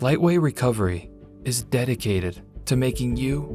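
A man at medium pitch, lively intonation, a fairly slow pace, and music playing in the background. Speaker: voice actor. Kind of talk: TV commercial read.

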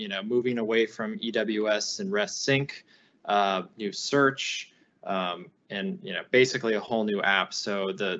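This man has an ordinary speaking voice, fairly low in pitch. He talks at a fairly slow pace with fairly even intonation. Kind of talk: panel answer. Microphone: video call.

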